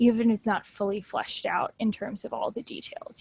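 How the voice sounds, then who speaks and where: At a moderate pace, a woman with an unremarkable speaking voice talks fairly high with fairly even intonation, the sound dry and close with no echo. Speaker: test prep tutor. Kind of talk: training session for tutors.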